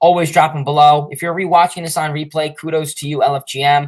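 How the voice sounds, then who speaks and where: A man speaks at a fairly quick pace in a fairly high pitch, with an ordinary speaking voice. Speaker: sports livestreamer. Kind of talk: livestream sign-off.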